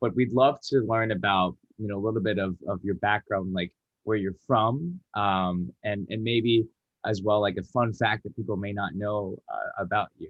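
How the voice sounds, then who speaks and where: With an American accent and a normal speaking voice, a man talks at a fairly low pitch and a moderate pace, his pitch varying in an ordinary way. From Atlanta, Georgia, US. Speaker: student host. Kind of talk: interview.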